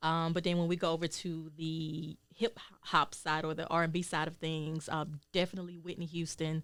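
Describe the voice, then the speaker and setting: A woman's fairly low voice in an American accent, monotone and flat. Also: moderate pace. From Georgia, US South. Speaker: singer and healer. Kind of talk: interview. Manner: hesitant, many ums.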